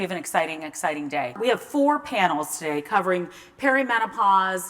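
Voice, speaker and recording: A woman with an American accent talks at a fairly quick pace in a medium pitch. Noticeable background noise runs underneath. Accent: slight Texas twang returning. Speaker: event host, journalist and menopause advocate. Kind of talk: live event welcome. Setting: stage with audience.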